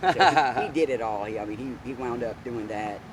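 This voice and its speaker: American-accented speech with noticeable background noise. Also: man. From US South. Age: 60s. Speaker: retired police officer. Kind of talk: interview.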